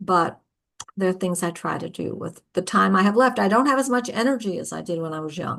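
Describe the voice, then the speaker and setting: A woman talks at a moderate pace with a medium pitch and lively intonation. Vocal fry runs through her voice. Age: 70s. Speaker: storyteller and writer. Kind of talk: interview. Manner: halting.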